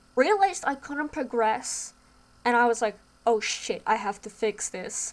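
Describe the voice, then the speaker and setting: The intonation is lively, with noticeable background noise in the recording. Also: woman, high pitch for a woman. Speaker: indie game developer. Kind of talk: casual talk to camera.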